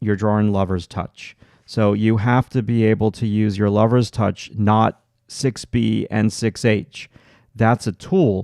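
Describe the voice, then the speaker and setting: With a Long Island accent, a man speaks at a fairly slow pace in a dark, mellow tone and a fairly low pitch, with a dry, close sound with no echo on a very clean recording with a silent background. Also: very even loudness. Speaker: art teacher. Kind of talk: live stream tutorial. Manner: halting, many filler words.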